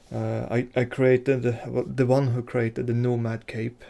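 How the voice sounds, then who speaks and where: Very slow and flat in intonation, a man with a Swedish accent talks in a medium pitch with a dark, mellow tone. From Sweden. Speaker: game modder and artist. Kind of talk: video tutorial / devlog. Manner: halting, many fillers.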